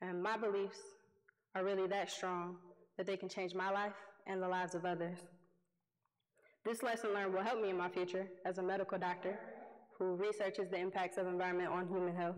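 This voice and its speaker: A woman talks very fast at a medium pitch, her intonation monotone and flat and her loudness very even. Long, frequent pauses break up her speech, and the room echoes audibly. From Detroit, US Midwest. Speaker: youth environmental activist and award winner. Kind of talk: award acceptance speech. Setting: stage with audience.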